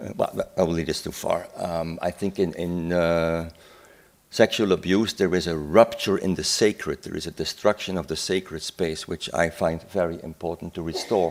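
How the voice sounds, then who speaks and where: A man talks with a very deep, low pitch and fairly even intonation. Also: moderate pace. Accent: Dutch. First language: Dutch. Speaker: psychiatrist. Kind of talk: conference talk. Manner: halting.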